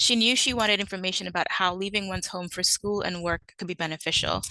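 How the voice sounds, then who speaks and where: A woman with a slight Caribbean accent talks at a very fast pace in a medium-pitched voice with a bright, sharp tone. The sound is dry and close, with no echo. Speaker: librarian. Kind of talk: conference presentation. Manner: hesitant with frequent fillers (um, uh).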